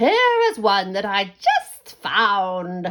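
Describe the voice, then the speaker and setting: This is a put-on character voice. It sounds female, with medium pitch. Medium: read story.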